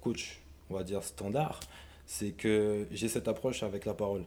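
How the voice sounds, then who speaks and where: The man's voice is fairly low in pitch, with a dark, mellow tone. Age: 20s. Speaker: sports coach and former American football player. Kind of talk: casual interview. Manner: halting, with frequent hesitations.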